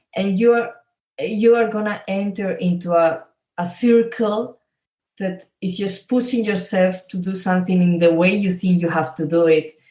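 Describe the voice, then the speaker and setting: With a Spanish accent, a woman speaks at a moderate pace and medium pitch, her dark, mellow tone somewhat breathy and her intonation fairly even. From Spain. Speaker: coach. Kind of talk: interview.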